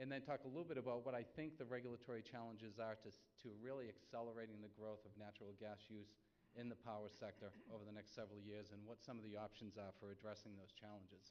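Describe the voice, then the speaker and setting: Very fast speech from a man with a Boston accent, fairly even intonation and hardly any pauses. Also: fairly low pitch for a man. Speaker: energy economist panelist. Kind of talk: conference presentation.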